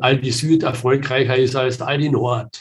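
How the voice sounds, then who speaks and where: With a somewhat breathy quality, a man's voice sits at a medium pitch. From southern Austria. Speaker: project management consultant. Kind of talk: interview. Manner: many filler sounds.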